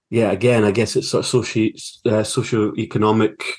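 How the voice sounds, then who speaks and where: A man speaks at a fairly quick pace in a fairly low pitch with a Scottish accent. His intonation is monotone and flat, over a quiet background. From Scotland, Fife. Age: 40s. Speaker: filmmaker and university lecturer. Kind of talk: interview.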